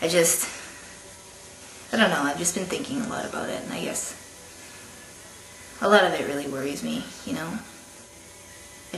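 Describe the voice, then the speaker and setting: A male voice with audible room echo and noticeable background noise. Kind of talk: video diary. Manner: halting, many fillers.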